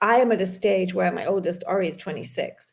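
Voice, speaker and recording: A woman with an English accent talks at a fairly quick pace in a medium pitch, her animated tone edged with vocal fry. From London, England. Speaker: fitness business owner, podcast co-host. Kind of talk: casual chat.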